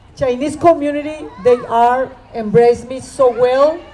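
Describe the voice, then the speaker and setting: A woman speaks very slowly in a high voice with ordinary pitch variation, and there is noticeable background noise. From Mexico, Sinaloa. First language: Spanish. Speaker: event host, artist and teacher. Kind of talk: event emcee speech.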